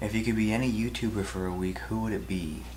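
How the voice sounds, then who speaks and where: Audible room echo follows the man as he talks fairly quickly. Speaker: YouTube video editor. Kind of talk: casual Q&A vlog. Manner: halting.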